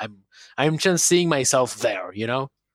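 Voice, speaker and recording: With a Spanish accent, a man speaks at a moderate pace with ordinary pitch variation on a very clean recording with a silent background. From Argentina, Buenos Aires. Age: 20s. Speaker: techno producer and DJ. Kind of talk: interview.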